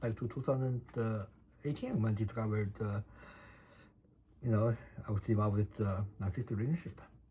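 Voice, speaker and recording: A man with a Chinese accent, medium pitch, a somewhat breathy, dark, mellow tone and a moderate pace. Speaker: vlogger documenting personal case. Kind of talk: personal testimony monologue. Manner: halting, many fillers and repetitions.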